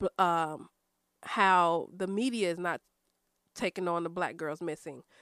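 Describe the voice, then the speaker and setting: This woman has an ordinary speaking voice with a medium pitch and an American accent. She talks at a moderate pace, and the sound is dry and close with no echo. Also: very clean recording, silent background. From Chicago south suburbs (Chicago Heights). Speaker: podcast guest. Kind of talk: casual chat.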